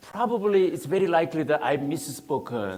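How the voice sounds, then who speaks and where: A man speaks with a Korean accent. There is audible room echo and noticeable background noise. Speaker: think tank researcher. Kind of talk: Q&A answer; lecture. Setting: public seminar with audience. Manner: halting.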